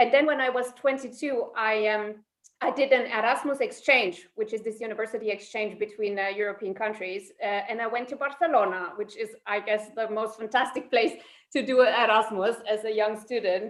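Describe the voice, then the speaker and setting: This voice carries a German accent. Its intonation stays fairly even. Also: woman, fairly high pitch for a woman, moderate pace. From Germany, Saarland. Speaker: psychologist. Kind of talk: interview.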